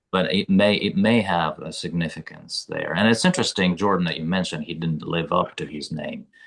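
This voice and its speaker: A man's very deep, low voice at a fairly quick pace, hardly any pauses, over a quiet background. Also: ordinary pitch variation. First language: not English. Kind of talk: book club discussion. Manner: halting.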